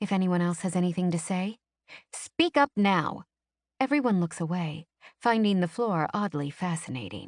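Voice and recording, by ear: The speaker reads aloud in a natural voice with ordinary pitch variation against a quiet background.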